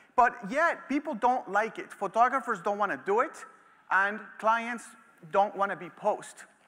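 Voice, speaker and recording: A man's animated, raised and projected voice, high in pitch with a bright, sharp tone. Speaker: photography educator. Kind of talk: lecture. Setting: stage with audience. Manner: fast. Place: stage. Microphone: headset.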